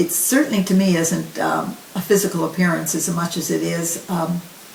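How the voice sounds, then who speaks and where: A woman talks over noticeable background noise. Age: 70s. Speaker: raw vegan health advocate. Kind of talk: interview answer.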